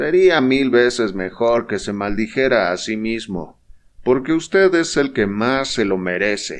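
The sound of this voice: Lively intonation in an unforced reading voice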